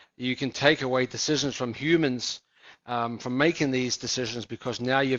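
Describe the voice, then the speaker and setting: Someone speaks at a fairly quick pace with a slight New Zealand accent. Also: man. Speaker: business executive. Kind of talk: interview.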